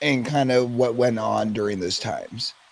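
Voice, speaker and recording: A man talks with fairly even intonation. Behind him, background noise is noticeable. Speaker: podcast host. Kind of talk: podcast interview host. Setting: studio.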